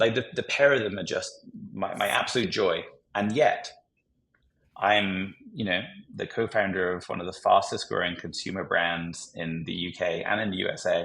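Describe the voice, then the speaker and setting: Here is a man in a British accent. His pace is moderate. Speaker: entrepreneur. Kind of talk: podcast interview.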